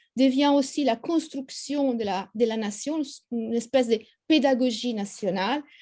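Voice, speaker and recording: A woman speaks with an Italian accent in a fairly high pitch. Her tone is dark and mellow. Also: quiet background. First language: Italian (speaking French). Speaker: history professor. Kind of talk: lecture. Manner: halting, many hesitations.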